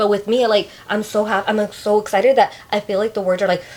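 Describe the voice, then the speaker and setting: Talking at a very fast pace with a Spanish accent, a woman has a fairly high pitch, and noticeable background noise runs underneath. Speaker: podcast co-host. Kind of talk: casual chat. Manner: animated, stumbles over words when excited.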